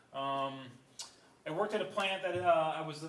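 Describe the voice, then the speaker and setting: A man talks fairly quickly, with noticeable background noise and audible room echo around him. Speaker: adjunct college instructor, water treatment operator. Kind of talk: classroom presentation. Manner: fast.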